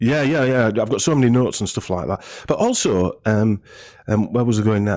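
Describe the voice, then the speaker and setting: A man's medium-pitched voice with a northern English accent, fairly quick, with ordinary pitch variation, on a very clean recording with a silent background. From northern England. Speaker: health clinic owner. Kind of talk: casual interview chat. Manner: halting, many fillers and restarts.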